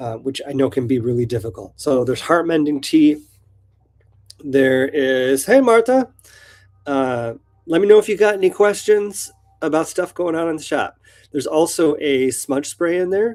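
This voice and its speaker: Using an American accent, a man with a fairly high pitch speaks at a moderate pace, making very wide pitch swings and long, frequent pauses. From US Pacific Northwest. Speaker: shop owner hosting live Q&A. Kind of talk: live stream Q&A, casual chat. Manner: casual with many fillers.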